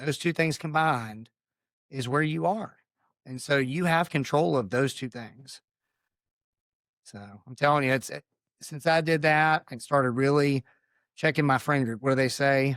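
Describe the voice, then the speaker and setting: Big swings in loudness and long, frequent pauses at a moderate pace, with ordinary pitch variation, dry, close sound with no echo and a very clean recording, silent background. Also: man, fairly high pitch for a man. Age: 40s. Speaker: retired marine officer, nonprofit founder. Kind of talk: interview. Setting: studio.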